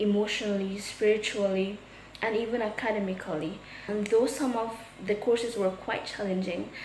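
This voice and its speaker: Amid noticeable background noise and audible room echo, a woman with a medium pitch speaks at a moderate pace with fairly even intonation. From Guyana. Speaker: theology student. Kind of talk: testimony.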